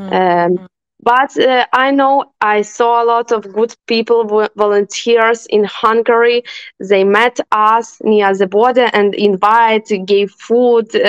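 Speaking very slowly in a fairly high pitch, a woman with a Ukrainian accent uses fairly even intonation, and the sound is dry and close with no echo. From Western Ukraine, Ivano-Frankivsk. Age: 20s. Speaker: neurologist, war refugee. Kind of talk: interview testimony. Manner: halting.

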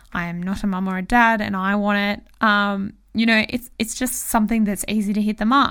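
On a very clean recording with a silent background, a woman with an Australian accent talks in an animated tone at a medium pitch. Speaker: marketing podcast host. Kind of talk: solo podcast monologue.

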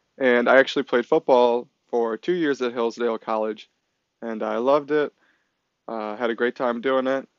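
Fairly even intonation from a man at medium pitch with a Midwestern US accent. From Michigan. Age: 20s. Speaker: college student podcaster. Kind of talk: solo monologue podcast intro.

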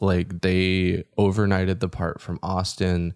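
Very slow speech from a man with a very deep, low pitch and an American accent, dry and close with no echo. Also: very clean recording, silent background. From Utah. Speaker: DJ, producer and van dweller. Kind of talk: casual interview chat.

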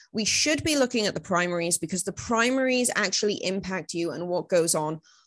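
With a Welsh accent, a woman speaks at medium pitch and a moderate pace, her intonation lively against a quiet background. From Wales. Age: 20s. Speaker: political commentator and podcast host. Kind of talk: solo podcast monologue. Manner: casual, filler-heavy.

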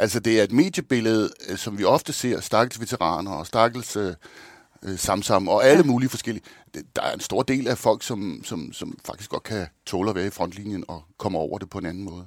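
In a very clean recording with a silent background, a man uses a plain, everyday voice at a fairly low pitch, with lively intonation and a moderate pace. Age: 50s. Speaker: thriller author. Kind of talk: interview.

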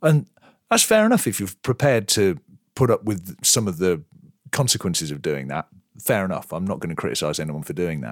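Very wide pitch swings mark this fairly quick speech, recorded with a dry, close sound and no echo. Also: man, very deep, low pitch for a man. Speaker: podcast host. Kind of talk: casual chat.

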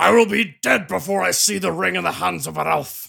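A man puts on a raspy character voice with a fairly high pitch, talking at a fairly quick pace. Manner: defiant, gruff.

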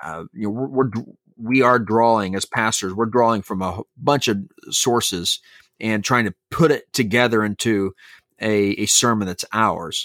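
A man speaks in a plain, everyday voice at medium pitch, with ordinary pitch variation and a fairly slow pace. The recording is very clean, with a silent background. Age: 40s. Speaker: pastor and podcast co-host. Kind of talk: casual chat.

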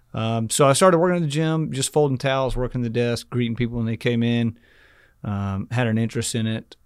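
On a very clean recording with a silent background, a man with an American accent and an ordinary speaking voice talks fairly quickly at medium pitch with ordinary pitch variation. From Texas, Rockwall near Dallas. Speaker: gym business founder and CEO. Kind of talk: interview. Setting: studio.

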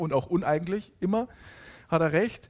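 Moderate pacing from a male speaker, ordinary pitch movement, on a very clean recording against a silent background. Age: 30s. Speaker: pastor. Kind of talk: sermon. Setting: church.

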